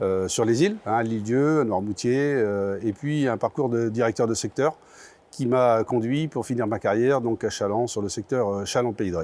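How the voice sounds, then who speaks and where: Ordinary pitch variation marks this man's medium-pitched voice. His pace is moderate. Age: 60s. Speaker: basketball club president. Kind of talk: interview statement. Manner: halting, many hesitations.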